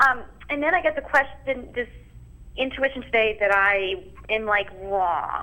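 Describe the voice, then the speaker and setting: A woman with a fairly high pitch speaks very slowly, her intonation lively. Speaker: caller. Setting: phone call.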